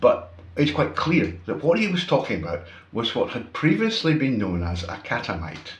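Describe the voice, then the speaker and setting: A somewhat breathy man with a Scottish accent, in audible room echo. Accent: Scottish, unmoderated. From Scotland. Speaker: YouTuber, commentator. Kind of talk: opinion monologue. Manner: casual, conversational with fillers.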